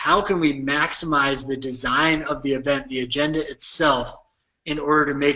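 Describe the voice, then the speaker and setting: Bright and sharp in tone, a man with an American accent speaks at a fairly high pitch. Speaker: tech company CEO. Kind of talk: interview podcast. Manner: drawl.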